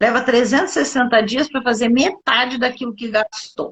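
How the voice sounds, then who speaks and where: Pacing is moderate. The breath is somewhat audible, and pitch shifts in an ordinary way. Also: woman. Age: 60s. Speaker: doctor and nutrition specialist. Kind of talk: live interview on health. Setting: live online broadcast.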